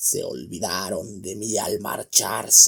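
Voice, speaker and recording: Growling, raspy and hoarse, a man's put-on character voice moves at a very slow pace. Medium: read story. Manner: gruff, bitter.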